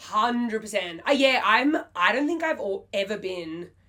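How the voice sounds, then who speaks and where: Her accent is Australian. The woman's pitch rises and falls in an ordinary way. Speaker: singer-songwriter. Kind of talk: interview answer.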